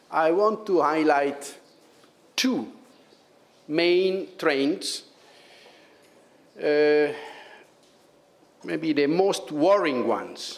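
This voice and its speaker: With an Italian accent, a man of fairly high pitch speaks very slowly with long, frequent pauses, ordinary pitch variation, very even loudness and audible room echo. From Italy. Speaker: public prosecutor, head of EU anti-fraud office. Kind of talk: conference talk. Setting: conference with audience. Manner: halting, many fillers.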